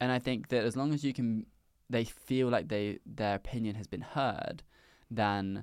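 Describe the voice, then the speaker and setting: With a southern English accent, a man speaks using lively intonation on a very clean recording with a silent background. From south coast of England. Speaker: startup founder. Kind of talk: interview.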